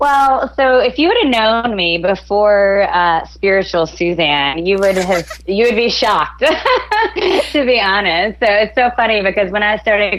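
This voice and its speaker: Moderate pace and ordinary pitch variation with a slight Southern US accent, against noticeable background noise. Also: woman. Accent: slight Southern twang. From Athens, Georgia, US South. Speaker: author and motivational speaker. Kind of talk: interview podcast.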